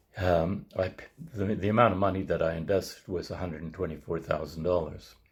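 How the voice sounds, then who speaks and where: Very deep and low, a man's somewhat breathy voice shows big swings in loudness yet keeps fairly even intonation. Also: fairly quick pace. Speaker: resident investor. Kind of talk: testimony. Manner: halting.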